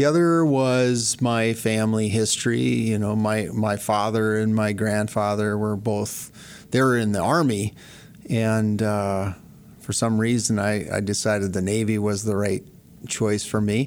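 Amid audible room echo, a man with an American accent speaks fairly slowly in a fairly low voice, keeping his loudness very even. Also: ordinary pitch variation. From northern Montana, US. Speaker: real estate broker, former surgical PA and Navy veteran. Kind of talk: interview. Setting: studio.

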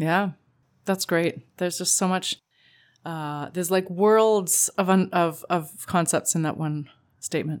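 In a Canadian accent, a woman with a plain, everyday voice speaks at a fairly slow pace and fairly low pitch with fairly even intonation, on a very clean recording with a silent background. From Canada. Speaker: podcast co-host, relationship coach. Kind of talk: casual chat.

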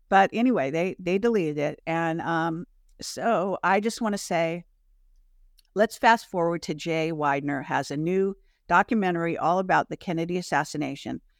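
A woman's plain, everyday voice, fairly low in pitch with ordinary pitch variation and a moderate pace, dry and close with no echo on a very clean recording with a silent background. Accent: American. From Michigan, US. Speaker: alternative media host and interviewer, former film industry worker. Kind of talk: casual conversation.

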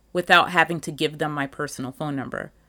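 Her tone is bright and sharp. The woman is recorded very cleanly against a silent background. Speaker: teacher and podcast host. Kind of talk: casual monologue. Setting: home apartment.

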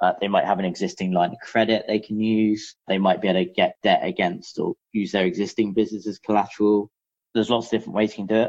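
Speaking very fast with a London accent, a man uses a fairly low pitch. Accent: British (London). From London, England. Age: 30s. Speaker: business founder, M&A broker. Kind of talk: interview.

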